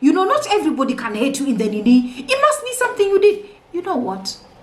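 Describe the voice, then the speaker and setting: A loud woman with a high pitch speaks at a moderate pace in an animated tone. Room echo is audible. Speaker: marriage and relationship coach. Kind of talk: motivational talk.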